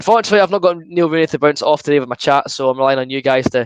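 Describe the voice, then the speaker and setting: Over a quiet background with a dry, close sound and no echo, a man with an Edinburgh accent talks at a very fast pace, his fairly high pitch showing ordinary variation. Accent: Edinburgh Scottish. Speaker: football fan streamer. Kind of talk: live watchalong commentary. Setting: live stream.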